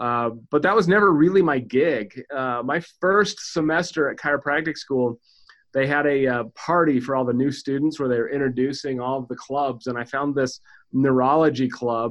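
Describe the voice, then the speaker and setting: In an American accent, a man with an ordinary speaking voice talks at a moderate pace, his fairly high pitch showing ordinary variation. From Utah, near Salt Lake City. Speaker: chiropractor. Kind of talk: interview.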